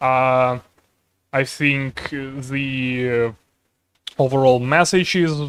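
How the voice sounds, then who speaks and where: A man's medium-pitched voice at a very slow pace, in flat, monotone intonation. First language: not English. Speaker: streamer and artist. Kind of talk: casual chat. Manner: halting, many fillers.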